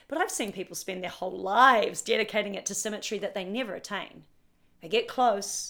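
A voice with a bright, sharp tone and a New Zealand accent speaks at a fairly quick pace. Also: woman. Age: 40s. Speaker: personal trainer. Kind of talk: casual interview conversation.

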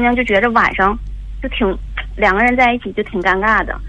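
A woman speaks at a very fast pace with a fairly high pitch and fairly even intonation. Noticeable background noise can be heard. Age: 40s. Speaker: caller, mother of a teenage daughter. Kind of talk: call-in advice conversation. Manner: halting, many fillers.

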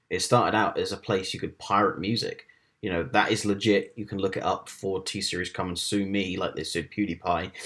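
An unremarkable speaking voice with ordinary pitch variation at a fairly quick pace. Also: man, fairly low pitch for a man. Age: 20s. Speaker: tech reporter. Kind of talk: casual chat. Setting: video call.

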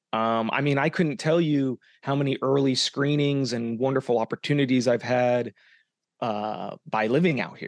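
A man with an American accent in a normal speaking voice, medium-pitched with ordinary pitch variation and a moderate pace, dry and close with no echo over a quiet background. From Arizona. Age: 30s. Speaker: independent filmmaker and podcast host. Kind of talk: casual interview chat.

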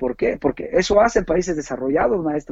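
A man at a moderate pace, with lively intonation. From Mexico, Puebla. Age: 40s. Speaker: taekwondo coach. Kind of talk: interview. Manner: halting.

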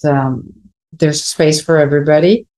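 A woman speaks with a Spanish accent in a very deep, low voice. Her tone is dark and mellow, her intonation fairly even. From Venezuela. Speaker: entrepreneur and creative consultant. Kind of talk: interview.

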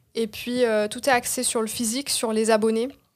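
Fairly high-pitched woman, fairly quick pace, monotone and flat intonation. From Marseille, southern France. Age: 20s. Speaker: social media consultant, entrepreneur. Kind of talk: interview.

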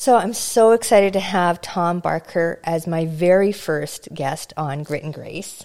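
Speaking at a fairly slow pace with hardly any pauses, a woman with a fairly low pitch shows ordinary pitch variation and big swings in loudness. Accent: Canadian Prairies. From rural Alberta, Canada. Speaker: podcast host. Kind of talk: casual interview; scripted intro.

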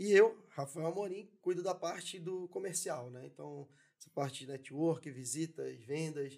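This man has a normal speaking voice, pitched fairly high, with ordinary pitch variation. He speaks at a fairly slow pace, and his loudness swings widely. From São Paulo city (Zona Leste, Penha), Brazil. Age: 30s. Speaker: entrepreneur. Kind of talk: casual interview chat.

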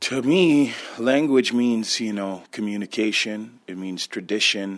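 This man has a plain, everyday voice, fairly low in pitch with ordinary variation, recorded very cleanly against a silent background. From Six Nations, Ontario, Canada. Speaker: musician. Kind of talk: personal testimony.

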